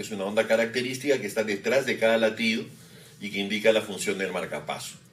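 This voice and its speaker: Fairly even intonation marks this man's speech. His pitch is medium. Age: 50s. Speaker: cardiologist. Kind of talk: medical interview explanation. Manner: hesitant fillers.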